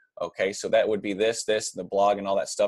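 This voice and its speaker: Dry and close with no echo, the sound carries a man's voice. He speaks at a very fast pace. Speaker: online marketing coach. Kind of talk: screen-share tutorial. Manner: casual, many filler words.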